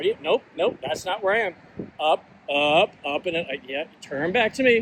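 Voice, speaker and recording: A man speaks loudly at a high pitch. His pace is moderate, and his pitch varies in an ordinary way. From Washington DC area, US. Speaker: author and agile coach. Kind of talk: casual vlog monologue. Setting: outdoors, walking with a gimbal. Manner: hesitant, many fillers.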